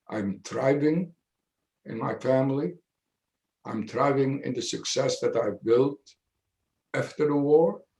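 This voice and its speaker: A somewhat breathy man with a fairly high pitch and a dark, mellow tone, with long, frequent pauses. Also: ordinary pitch variation. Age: 80s+. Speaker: Holocaust survivor speaker. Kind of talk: testimony. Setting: video call.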